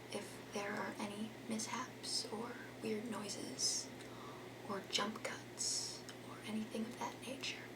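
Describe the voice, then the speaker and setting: Whispering at a very slow pace, a woman leaves long, frequent pauses. Noticeable background noise is present. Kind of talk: ASMR unboxing and gift wrapping video; casual talk to camera. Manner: soft-spoken.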